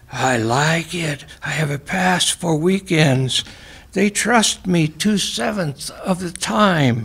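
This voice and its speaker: Someone whispers in a put-on character voice at a very slow pace. Light background noise sits behind it. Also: man. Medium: read story. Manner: cryptic, non sequiturs; whispering.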